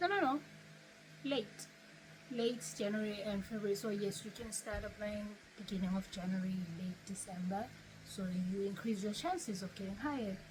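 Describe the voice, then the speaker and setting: Amid noticeable background noise, a woman at medium pitch speaks at a moderate pace with ordinary pitch variation and long, frequent pauses. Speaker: YouTuber. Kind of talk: tutorial.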